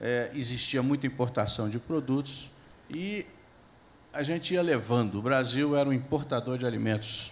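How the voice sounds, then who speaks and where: A man with an unremarkable speaking voice talks at a moderate pace, his medium pitch showing ordinary pitch variation. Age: 60s. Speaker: agricultural scientist and professor. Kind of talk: panel discussion. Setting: stage with audience.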